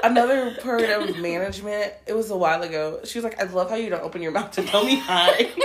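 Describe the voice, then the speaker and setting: Noticeable background noise sits behind this woman's voice. She has a fairly high pitch and talks at a fairly quick pace. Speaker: podcast co-host. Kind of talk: casual chat. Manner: talks with teeth closed.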